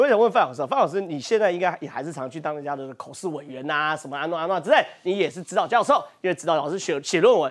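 Talking at a very fast pace with hardly any pauses, a man with a Taiwanese accent sounds animated against a quiet background. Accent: Taiwanese Mandarin. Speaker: political talk show host. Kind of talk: political talk show commentary. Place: studio. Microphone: lapel.

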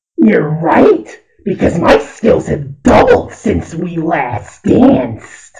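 A cartoonish character voice speaks at a middle pitch and a very slow pace. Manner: mocking, boastful.

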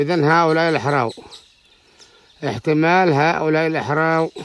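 Speaking with a Yemeni accent, a man goes at a fairly slow pace with fairly even intonation in a dry sound with no echo. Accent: Yemeni Wusabi dialect. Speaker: local filming the landscape. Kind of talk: casual outdoor narration to camera. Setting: outdoors. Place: open country. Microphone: phone near.

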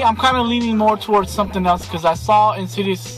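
Over clear background music, a man talks at a very fast pace, and the sound is dry with no echo. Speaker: vlogger. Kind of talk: casual vlog chat. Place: car. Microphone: phone near.

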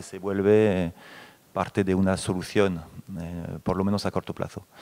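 In a French accent, a man talks at a moderate pace with a fairly low pitch. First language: French (speaking Spanish). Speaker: company representative on a panel. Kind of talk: panel discussion. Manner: hesitant, many fillers. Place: hall. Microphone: handheld.

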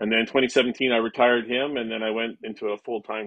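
A man with a Canadian accent speaks at a moderate pace with fairly even intonation. The sound is dry with no echo, and the background is quiet. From western Canada. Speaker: police dog handler and trainer; trainer. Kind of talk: interview; interview answer. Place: home room. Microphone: video call.

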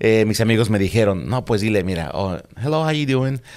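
A man with a Mexico City accent talks very fast in a fairly low voice with lively intonation against a quiet background. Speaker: police officer; guest. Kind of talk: casual interview. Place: studio. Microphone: studio mic.

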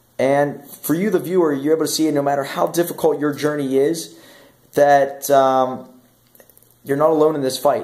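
Against a quiet background, the speech runs at a fairly quick pace with fairly even intonation. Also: man. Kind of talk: casual vlog chat. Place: home room. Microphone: phone near.

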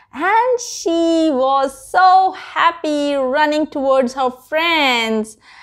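The voice belongs to a woman and sits high in pitch. Its tone is fairly bright.

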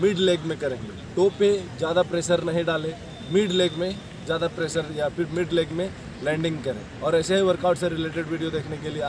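The recording has noticeable background noise and a dry sound with no echo. A man speaks in a high voice at a moderate pace. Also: fairly even intonation. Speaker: fitness coach. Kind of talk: tutorial. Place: stadium.

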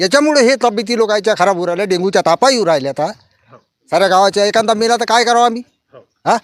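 In a dry, close sound with no echo, a man speaks with a high-pitched voice. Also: ordinary pitch variation. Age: 60s. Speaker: villager. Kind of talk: interview.

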